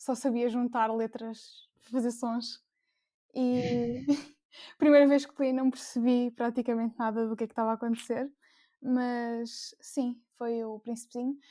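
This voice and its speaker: A woman speaks at a high pitch and a fairly slow pace with a dark, mellow tone and monotone, flat intonation. The recording is very clean with a silent background. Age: 20s. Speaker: book blogger, engineering student. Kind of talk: casual podcast chat.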